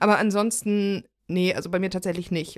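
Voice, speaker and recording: At a moderate pace, a woman talks at medium pitch in an unremarkable speaking voice. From Germany. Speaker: podcast host. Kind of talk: casual chat.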